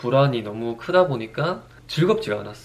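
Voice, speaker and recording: Somewhat breathy and at a fairly quick pace, a man speaks at a medium pitch with ordinary pitch variation. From Daegu, South Korea. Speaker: fitness trainer and YouTuber. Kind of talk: personal monologue vlog.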